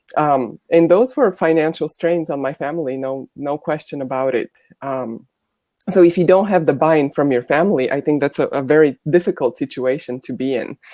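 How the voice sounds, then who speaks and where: A woman with a Bulgarian accent speaks at a very deep, low pitch. Her pace is moderate, and her pitch variation is ordinary. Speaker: former college volleyball player. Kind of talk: panel discussion.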